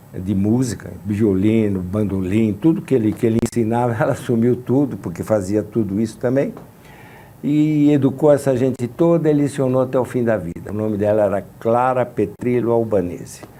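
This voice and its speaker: Here a man speaks at a moderate pace in a medium-pitched voice with a dark, mellow tone. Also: ordinary pitch variation. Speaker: composer and pianist. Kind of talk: interview. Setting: studio.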